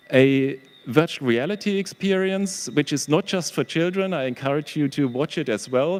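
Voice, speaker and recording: At a fairly slow pace, a man with a German accent talks at a fairly high pitch with ordinary pitch variation. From Germany. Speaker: professor, historian and exhibition curator. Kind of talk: panel presentation. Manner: halting, with many fillers.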